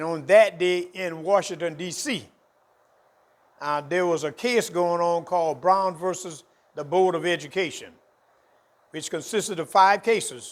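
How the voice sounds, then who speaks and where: In a South Carolina accent, a man speaks at a fairly slow pace with long, frequent pauses. His pitch is high, with ordinary pitch variation. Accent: Southern US (South Carolina). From South Carolina, US South. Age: 70s. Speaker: historian. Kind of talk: interview.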